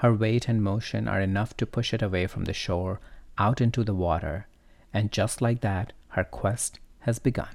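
In a very clean recording with a silent background, a man with an ordinary speaking voice talks at a moderate pace, fairly low in pitch and with fairly even intonation. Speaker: podcast host and storyteller. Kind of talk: fairy-tale narration with wry commentary. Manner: wry, playful, lightly sarcastic.

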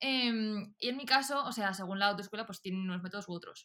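Bright and sharp in tone, a woman speaks at a medium pitch. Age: 20s. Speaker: podcast co-host. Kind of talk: casual chat.

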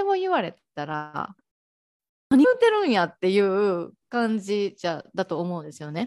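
A woman at a moderate pace. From Japan, Ehime. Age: 20s. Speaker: life coach and podcaster. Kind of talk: casual interview. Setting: online call. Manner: hesitant, many fillers.

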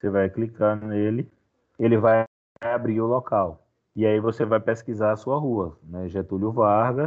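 Speaking at a fairly slow pace, a man with an ordinary speaking voice keeps a medium pitch and fairly even intonation. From Bahia, Brazil (Feira de Santana). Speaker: history teacher. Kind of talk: online class.

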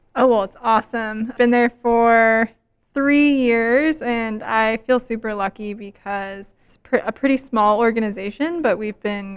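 A plain, everyday voice from a woman, fairly high in pitch, with ordinary pitch variation and big swings in loudness, on a very clean recording with a silent background. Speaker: nonprofit youth education staffer. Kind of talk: casual interview.

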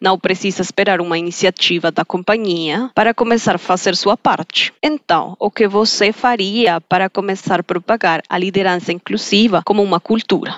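A woman with a Colombian accent at medium pitch, with ordinary pitch variation, very even loudness, a moderate pace and hardly any pauses. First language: Spanish (speaking Portuguese). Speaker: podcast host. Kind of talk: interview.

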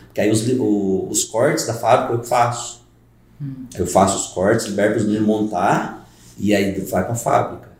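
Somewhat breathy and fairly low in pitch, a man speaks with fairly even intonation. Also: moderate pace. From Brazil, rural Caldas, Minas Gerais. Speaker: carpenter and brewer, youtuber. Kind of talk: casual chat.

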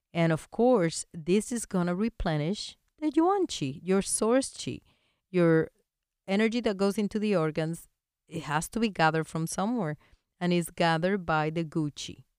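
With a Spanish accent, a woman speaks at a moderate pace and fairly low pitch with lively intonation, in a dry, close sound with no echo and a very clean recording with a silent background. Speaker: veterinarian and acupuncture teacher, podcast host. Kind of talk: educational monologue. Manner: friendly, chatty, laughs often.

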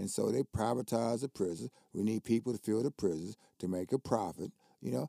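Recorded with a dry, close sound with no echo, a man speaks at a moderate pace in a dark, mellow tone with vocal fry. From US Midwest, southern Ohio. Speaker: jazz poet and basketball coach. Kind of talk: casual chat.

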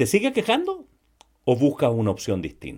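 A man is speaking. His pitch sits fairly high. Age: 60s. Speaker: sales podcast host. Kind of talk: solo podcast monologue. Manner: frequent word repetitions and fillers.

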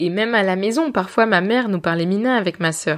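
Here is a woman with an unremarkable speaking voice, a medium pitch and lively intonation. She goes at a moderate pace on a very clean recording with a silent background. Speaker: podcast host. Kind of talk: personal storytelling.

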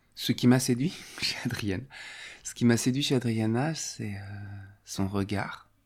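Speaking very slowly, a man pauses long and often, with big swings in loudness. His pitch is medium and varies in an ordinary way. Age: 40s. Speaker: theatre and clown teacher. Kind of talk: testimony. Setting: at home. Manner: halting.

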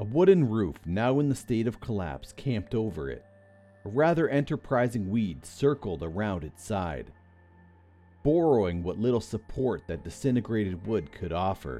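A man's fairly low voice with very wide pitch swings, music playing in the background. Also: moderate pace. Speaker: narrator of creepypasta stories. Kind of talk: scripted horror story narration, ghost story telling. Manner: tense, hushed, suspenseful pacing with dramatic build.

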